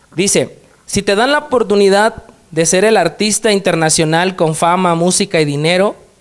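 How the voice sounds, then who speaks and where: At a moderate pace, a man talks in a high pitch with very even loudness. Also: ordinary pitch variation. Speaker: podcast host. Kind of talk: casual interview.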